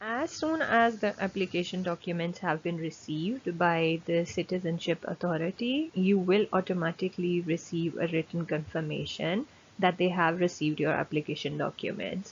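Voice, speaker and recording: Her pitch sits fairly low for a woman and moves with ordinary variation. The woman's voice is somewhat breathy. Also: moderate pace. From Germany, born in Pakistan. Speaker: language teacher and YouTuber. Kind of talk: tutorial. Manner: hesitant with frequent fillers.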